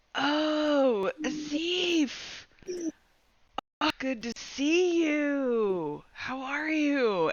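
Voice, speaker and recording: A woman puts on a character voice at a high pitch. She speaks very slowly. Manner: friendly, greeting an acquaintance.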